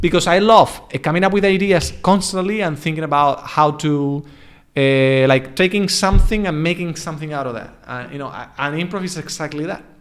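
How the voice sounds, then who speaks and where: A man with a European accent and a fairly high pitch, ordinary pitch variation, a fairly quick pace and big swings in loudness. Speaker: English coach. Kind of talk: casual chat. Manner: halting, many false starts.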